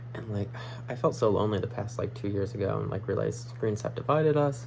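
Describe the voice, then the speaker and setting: With audible room echo around him, a man speaks at a very fast pace. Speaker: astrology vlogger. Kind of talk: casual monologue vlog. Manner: rambling with frequent fillers.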